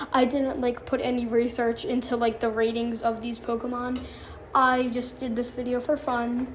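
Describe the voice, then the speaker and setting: Soft-spoken woman with a high pitch and monotone, flat intonation, plus audible room echo and noticeable background noise. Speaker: gaming YouTuber. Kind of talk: casual tier-list commentary. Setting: bathroom of a karate school. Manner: hesitant, many fillers.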